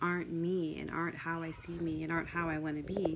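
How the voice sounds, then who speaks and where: Soft-spoken and monotone, a woman with a fairly low pitch talks in a flat voice against noticeable background noise. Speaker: life coach. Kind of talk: casual talk to camera. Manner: hesitant, many fillers.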